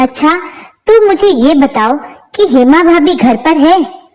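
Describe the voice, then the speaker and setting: A woman uses a put-on character voice with a high pitch. Her intonation is lively and her pace moderate. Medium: read story. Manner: earnest and jumpy.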